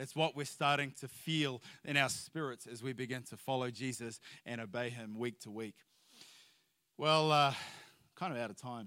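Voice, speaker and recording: A man with a bright, sharp tone and a medium pitch speaks at a moderate pace on a very clean recording with a silent background. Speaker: missionary. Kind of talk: sermon. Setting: church.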